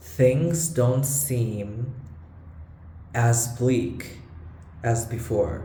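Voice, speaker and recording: With a non-native accent, a man of medium pitch speaks at a very slow pace in a dark, mellow, somewhat breathy tone, with ordinary pitch variation, long, frequent pauses and audible room echo. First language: not English. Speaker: vlogger. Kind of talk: casual vlog monologue. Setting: room with bad acoustics. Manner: halting. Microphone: low-quality recording, echoey room.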